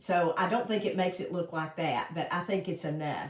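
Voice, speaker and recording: A woman in a Southern US accent at a moderate pace. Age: 60s. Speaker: makeup consultant. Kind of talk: casual chat; tutorial. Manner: casual.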